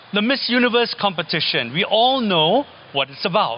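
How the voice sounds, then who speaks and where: Noticeable background noise behind a man's voice of very wide pitch swings. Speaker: architect and teacher. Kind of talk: lecture. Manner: halting, many fillers and repetitions.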